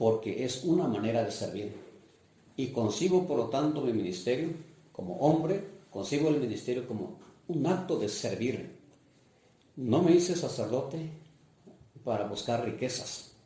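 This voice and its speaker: Through audible room echo, a man at medium pitch speaks in a somewhat breathy voice with lively intonation, at a fairly slow pace with long, frequent pauses. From Mixtec region of Oaxaca, Mexico. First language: Mixtec (speaking Spanish). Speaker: parish priest. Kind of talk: life-story interview testimony. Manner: hesitant, with fillers.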